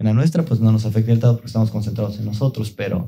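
A man with a Mexican accent speaks at a medium pitch with fairly even intonation. His dark, mellow tone is somewhat breathy. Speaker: product lead at a digital agency, podcast host. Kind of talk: casual chat.

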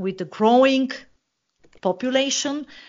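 At a moderate pace, a woman talks with a Bulgarian accent. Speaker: political analyst. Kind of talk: interview. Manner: hesitant, many fillers.

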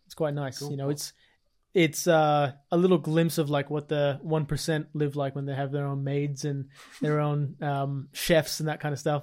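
The recording is very clean with a silent background. A man at fairly high pitch speaks at a moderate pace in a monotone, flat intonation. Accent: Australian. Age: 20s. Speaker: fitness podcast co-host. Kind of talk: casual chat.

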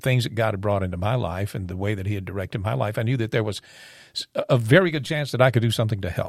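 A man uses a plain, everyday voice at medium pitch with lively intonation. The recording is very clean, with a silent background. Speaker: podcast guest and intro voice. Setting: studio.

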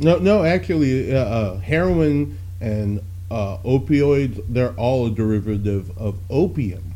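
Very slowly, a man speaks in a somewhat breathy voice. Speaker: podcast host. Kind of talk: casual banter. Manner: joking, self-deprecating.

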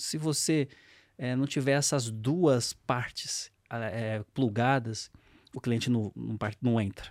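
In a very clean recording with a silent background, a man of medium pitch talks at a very slow pace with ordinary pitch variation. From Brazil, São Paulo. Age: 40s. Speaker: fintech CEO. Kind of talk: interview. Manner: halting.

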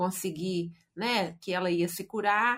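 Here is an unremarkable speaking voice with ordinary pitch variation. The recording is very clean, and the background is silent. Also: woman. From Brazil, Belo Horizonte. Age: 50s. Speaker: writer and speaker. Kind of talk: interview testimony.

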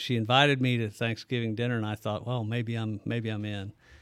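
A man with an American accent and an unremarkable speaking voice talks at a fairly quick pace and medium pitch on a very clean recording with a silent background. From US Midwest, southern Illinois (Bethalto). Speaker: businessman and cattle farmer. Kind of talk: casual interview. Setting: studio.

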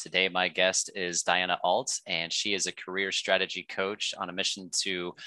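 A man's very deep, low voice with a bright, sharp tone, flat monotone intonation, and a dry, close sound with no echo against a quiet background. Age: 40s. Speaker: podcast host. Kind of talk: casual chat.

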